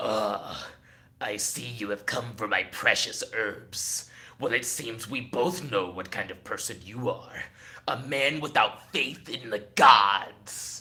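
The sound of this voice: A put-on character voice from a man, gravelly and sinister, menacing in tone, at a medium pitch and fairly slow pace.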